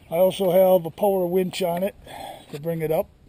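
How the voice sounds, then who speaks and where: A man with an American accent at a high pitch, relaxed in tone, with fairly even intonation at a moderate pace, over noticeable background noise. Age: 70s. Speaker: cottage owner vlogger. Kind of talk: casual show-and-tell vlog. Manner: relaxed, halting with fillers.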